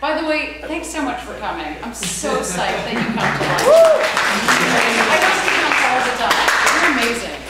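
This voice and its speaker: Against crowd noise in the background and audible room echo, a woman speaks at a fairly slow pace. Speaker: lecturer at hospital teaching session. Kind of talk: lecture. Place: meeting room. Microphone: camera far.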